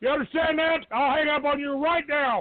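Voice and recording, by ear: This man's voice sits extremely high, with ordinary pitch variation. He talks at a moderate pace.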